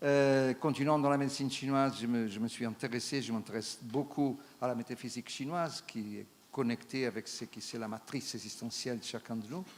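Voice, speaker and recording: A man with a non-native accent, medium pitch and fairly even intonation. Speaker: traditional Chinese medicine practitioner. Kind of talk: conference talk. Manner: halting, many hesitations.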